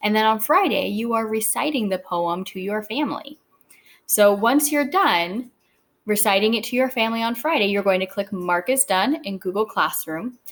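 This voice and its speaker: With a plain, everyday voice, a woman speaks at a moderate pace with a fairly high pitch and lively intonation in a very clean recording with a silent background. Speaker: teacher. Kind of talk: tutorial.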